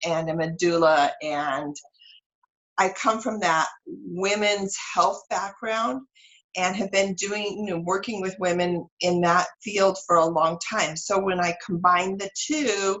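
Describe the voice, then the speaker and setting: A woman's medium-pitched voice with an American accent, ordinary pitch variation and a fairly slow pace. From US West Coast, San Francisco Bay Area. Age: 60s. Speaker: holistic energy practitioner and women's wellness coach. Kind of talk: interview.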